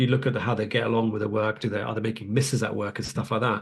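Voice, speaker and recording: Against a quiet background, a man with a British accent speaks at a very fast pace in a somewhat breathy voice. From UK. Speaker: radiologist teaching a webinar. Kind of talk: online lecture with live Q&A. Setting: live webinar. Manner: casual, many filler ums.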